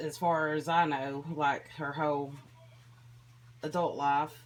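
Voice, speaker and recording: A woman with a very deep, low voice speaks with a slight country accent. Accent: slight country twang. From Tennessee. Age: 30s. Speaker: vlogger sharing mental health experience. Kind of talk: personal vlog monologue.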